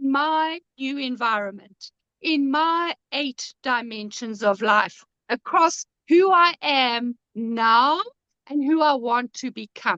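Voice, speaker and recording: In a raised, projected voice with a high pitch and a bright, sharp tone, a woman speaks very slowly with lively intonation, recorded dry and close with no echo. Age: 70s. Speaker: author and life coach. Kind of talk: casual chat. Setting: live stream.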